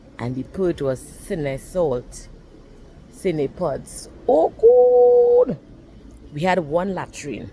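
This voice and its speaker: Very slow speech with long, frequent pauses over noticeable background noise. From Trinidad and Tobago. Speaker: storyteller. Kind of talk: personal storytelling.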